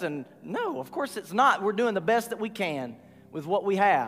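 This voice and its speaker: The speaker has a Southern US accent and very wide pitch swings at a moderate pace. Noticeable background noise runs underneath. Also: man. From US South, north Georgia. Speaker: pastor. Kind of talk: sermon.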